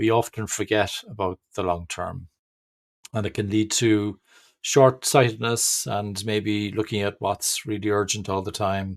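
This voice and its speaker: A fairly low-pitched man's voice with an Irish accent, fairly slow in pace, with fairly even intonation. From Ireland. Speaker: agile trainer and management speaker. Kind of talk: webinar presentation. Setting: online webinar. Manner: hesitant, many fillers.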